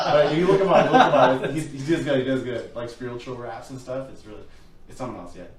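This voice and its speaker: Noticeable background noise sits behind a man talking very fast at medium pitch with ordinary variation. His loudness swings widely. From western Canada (Abbotsford, British Columbia). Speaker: musician and DJ. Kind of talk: casual interview chat. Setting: live stream studio. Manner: halting, many fillers.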